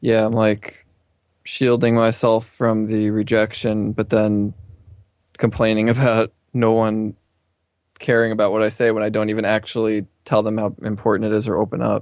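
At a moderate pace, a man speaks in a fairly low voice with monotone, flat intonation. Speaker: caller. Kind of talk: personal advice call.

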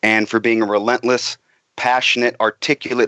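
Speaking at a fairly quick pace, a man keeps a fairly low pitch and a monotone, flat intonation. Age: 20s. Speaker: caller, musician. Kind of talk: casual chat. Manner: hesitant, many uh fillers.

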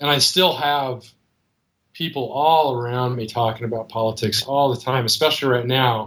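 Moderate pace, medium pitch and fairly even intonation from a man with an ordinary speaking voice. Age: 30s. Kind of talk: call-in conversation.

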